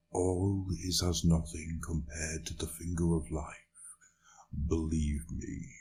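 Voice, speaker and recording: A man puts on a character voice with a very deep, low pitch. He talks at a fairly slow pace in a monotone, flat intonation. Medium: read story. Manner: warm, persuasive.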